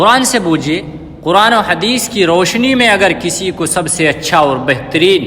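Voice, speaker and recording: The man's intonation is lively, with noticeable background noise behind him. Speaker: Islamic scholar giving a sermon. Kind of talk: Islamic sermon speech.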